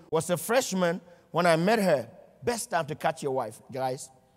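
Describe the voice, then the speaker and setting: Moderate pace, an animated tone, and a non-native accent on a very clean recording with a silent background. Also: man. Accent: foreign. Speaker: motivational speaker. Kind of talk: motivational speech.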